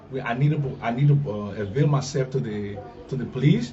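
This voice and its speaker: A man with a fairly high pitch speaks fairly quickly, his pitch moving in an ordinary way, while noticeable background noise and audible room echo fill the recording. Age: 70s. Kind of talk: press interview. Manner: halting.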